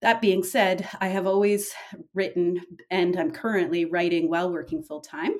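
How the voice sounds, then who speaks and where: An ordinary speaking voice from a woman, medium in pitch, with ordinary pitch variation. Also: moderate pace. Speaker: novelist. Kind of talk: interview.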